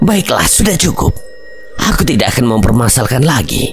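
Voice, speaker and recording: A man's put-on character voice, medium in pitch, at a moderate pace over clear background noise. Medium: read story. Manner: haughty, commanding.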